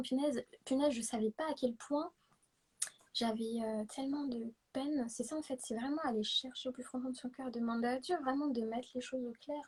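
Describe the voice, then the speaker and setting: At a moderate pace, a woman speaks with a high pitch and ordinary pitch variation. Her tone is dark and mellow. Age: 20s. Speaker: guest sharing testimony. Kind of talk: testimony. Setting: livestream.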